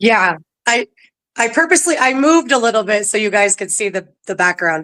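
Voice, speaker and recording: Speaking fairly quickly with an American accent, a woman uses a fairly high pitch, very wide pitch swings and a bright, sharp tone. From California. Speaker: ghost tour guide. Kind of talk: casual interview. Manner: halting, many fillers.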